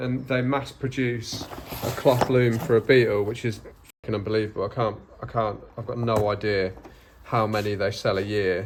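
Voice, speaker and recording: An English Midlands accent at a moderate pace, with noticeable background noise. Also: man, medium pitch for a man, fairly even intonation. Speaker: car restorer, channel co-host. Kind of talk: casual chat while working.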